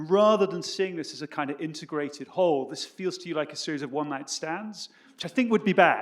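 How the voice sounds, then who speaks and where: Here a man with a British accent speaks at a very fast pace. His high voice has lively intonation. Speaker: history professor. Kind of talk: academic panel talk. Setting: stage with audience. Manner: halting.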